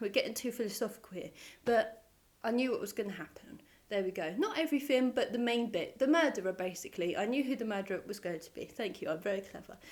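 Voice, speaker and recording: A woman mumbles at a very fast pace in a fairly high pitch. Her intonation is lively, and her loudness swings widely. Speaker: book reviewer. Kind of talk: casual talk to camera. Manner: mumbling.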